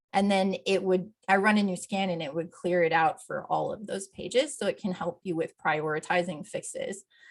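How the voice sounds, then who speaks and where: A woman speaks at a medium pitch. She has an unremarkable speaking voice. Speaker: accessibility plugin developer presenting a tool. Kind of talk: software demo presentation.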